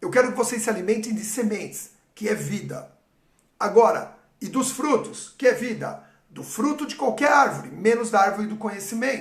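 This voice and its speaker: In a room with audible echo, a man speaks at an extremely high pitch with big swings in loudness. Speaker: pastor. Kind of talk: sermon. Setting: livestream.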